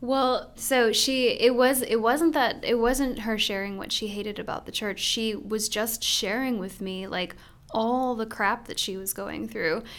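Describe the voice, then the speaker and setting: A woman with an American accent has an ordinary speaking voice, fairly high in pitch with ordinary variation. She speaks at a fairly slow pace with hardly any pauses. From US Midwest. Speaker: pastor's wife and church co-founder. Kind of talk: casual interview.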